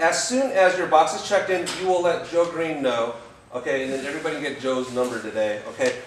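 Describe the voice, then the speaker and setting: A fairly high-pitched man swings very widely in pitch amid noticeable background noise and audible room echo. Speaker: trip organizer leading team briefing. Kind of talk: group briefing.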